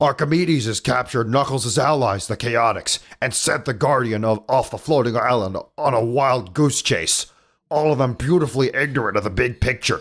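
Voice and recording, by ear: In a put-on character voice, a man speaks with a gravelly, medium-pitched sound at a moderate pace, in a very clean recording with a silent background.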